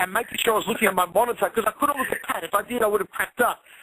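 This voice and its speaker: A man's raised, projected, high-pitched voice with an Australian accent. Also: dry, close sound with no echo. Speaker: MMA commentator. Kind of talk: interview.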